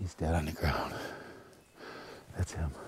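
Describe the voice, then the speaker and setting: A man's voice with fairly even intonation over noticeable background noise. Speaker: hunting show host. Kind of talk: hunting video narration. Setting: outdoors. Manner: whispering.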